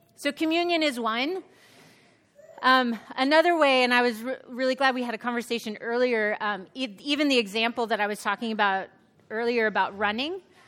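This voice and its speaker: Bright and sharp in tone, a woman speaks at a high pitch with ordinary pitch variation. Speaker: professor and author. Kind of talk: panel discussion answers.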